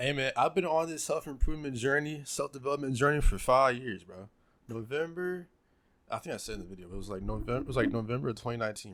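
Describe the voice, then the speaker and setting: A man rattles along at a very fast rate while his pitch stays medium. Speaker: YouTuber reacting to his own talk. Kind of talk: casual commentary. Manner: halting, repeats words.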